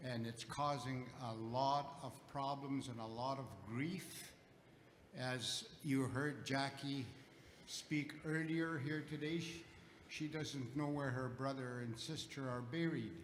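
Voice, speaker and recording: Speaking at a very slow pace, a man with a fairly high pitch keeps a fairly even intonation amid audible room echo and noticeable background noise. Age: 80s+. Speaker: elder and residential school survivor. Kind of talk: audience comment at public gathering.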